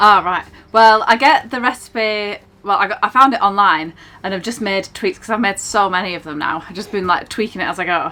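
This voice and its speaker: Speaking at a fairly quick pace in a Lancashire accent, a woman with a medium pitch and a bright, sharp tone makes big swings in loudness, on a very clean recording with a silent background. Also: ordinary pitch variation. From northern England, Blackburn, Lancashire. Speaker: narrowboat cafe owner and vlogger. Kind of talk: casual Q&A chat.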